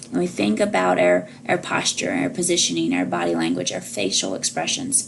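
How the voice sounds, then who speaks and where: A woman speaking at a fairly quick pace, with audible room echo and noticeable background noise. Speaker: college instructor. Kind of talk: lecture. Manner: loud.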